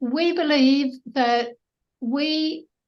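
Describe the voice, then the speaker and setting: This woman speaks with a New Zealand accent at a high pitch. The background is quiet. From New Zealand (Auckland). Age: 70s. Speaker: political party candidate. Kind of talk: interview.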